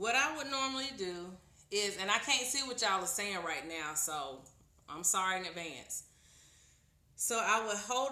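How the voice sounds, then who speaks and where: A woman of medium pitch speaks at a moderate pace, with audible room echo and noticeable background noise. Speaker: tarot reader. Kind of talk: live stream tutorial. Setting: live video stream. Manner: loud.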